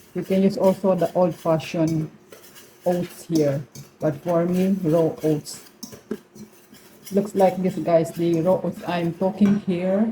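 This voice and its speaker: Speaking very slowly with a Filipino accent, a woman leaves long, frequent pauses, her intonation fairly even over noticeable background noise. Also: fairly low pitch for a woman. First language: Tagalog. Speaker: cooking vlogger. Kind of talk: cooking tutorial. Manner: casual.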